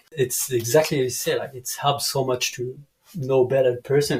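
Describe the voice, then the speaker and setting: In a French accent, a man speaks at a fairly quick pace with a fairly high pitch and ordinary pitch variation. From France (Dijon). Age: 30s. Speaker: canyoning guide. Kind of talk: casual interview chat. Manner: halting, many fillers.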